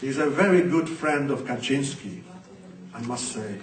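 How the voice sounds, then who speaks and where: A man talks with a fairly high pitch. Noticeable background noise and audible room echo surround him. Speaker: activist. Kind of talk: conference talk.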